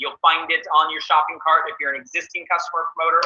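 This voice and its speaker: This man has a high voice with ordinary pitch variation. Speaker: company presenter. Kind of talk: webinar product presentation. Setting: webinar call. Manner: fast; animated.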